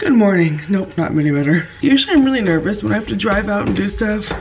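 A woman of medium pitch speaks fairly quickly with very wide pitch swings, with noticeable background noise behind her. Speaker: vlogger. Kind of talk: casual vlog chat.

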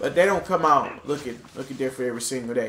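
Ordinary pitch variation in a man's speech, with noticeable background noise behind it. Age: 20s. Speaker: gaming YouTuber. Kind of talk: gameplay commentary.

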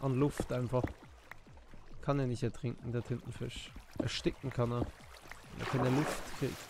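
A man at a moderate pace. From Switzerland. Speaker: gaming streamer. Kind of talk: casual live stream chat. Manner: loud.

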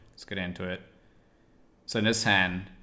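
This man's voice has a bright, sharp tone. His pitch is very deep and low. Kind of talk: casual vlog commentary. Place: home room. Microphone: webcam.

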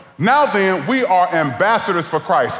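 Audible room echo surrounds a man with an American accent whose pitch swings very widely. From Ohio. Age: 40s. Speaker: guest preacher. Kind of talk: sermon. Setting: church. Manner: animated. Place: church. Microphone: headset.

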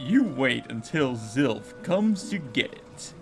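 A man uses a put-on character voice at a medium pitch and a fairly slow pace. Music plays clearly behind him.

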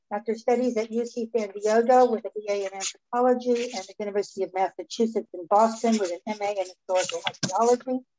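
A woman speaks at a fairly quick pace with fairly even intonation over noticeable background noise. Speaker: event host. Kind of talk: speaker introduction. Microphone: video call.

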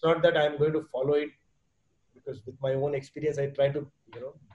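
Somewhat breathy and monotone, a man with an Indian accent speaks at a very fast pace. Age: 50s. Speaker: entrepreneur and fitness enthusiast; guest. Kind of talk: podcast interview answer. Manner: casual, mixes Hindi and English. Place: home room. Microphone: video call.

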